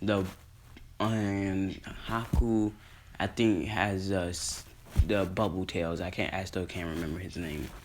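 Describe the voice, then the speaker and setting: Audible room echo surrounds a man with a very deep, low pitch. He speaks at a fairly slow pace with long, frequent pauses. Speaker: YouTuber discussing anime fan theories. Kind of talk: casual monologue recap. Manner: energetic; halting, self-correcting.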